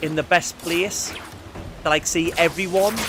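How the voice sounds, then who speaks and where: A man with a high voice and an English accent, animated in tone, at a moderate pace, over noticeable background noise. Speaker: gaming streamer. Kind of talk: casual gameplay commentary.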